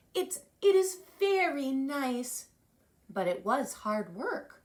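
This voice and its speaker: Putting on a character voice, a woman talks at a very slow pace, her pitch high and swinging very widely. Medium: read story. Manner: calm, patient.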